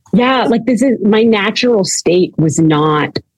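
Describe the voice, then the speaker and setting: A woman with a Canadian accent speaks at a fairly slow pace. Her pitch varies in an ordinary way. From Canada. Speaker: recovery program founder, former orthodontist. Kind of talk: interview, personal testimony.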